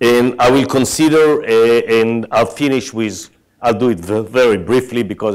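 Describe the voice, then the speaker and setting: A man with an Israeli accent speaks at a medium pitch in a very clean recording against a silent background. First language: Hebrew. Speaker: tech executive. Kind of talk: conference keynote.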